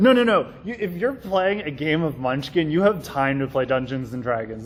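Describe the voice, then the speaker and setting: Hardly pausing, a man talks with very wide pitch swings. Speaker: convention panelist. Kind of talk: convention panel talk. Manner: fast; informal.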